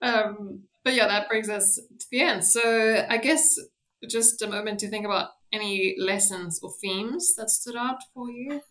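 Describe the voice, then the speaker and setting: Bright and sharp in tone, a woman's voice sits fairly high in pitch. She keeps a moderate pace with ordinary pitch variation. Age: 20s. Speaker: podcast host. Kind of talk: casual chat.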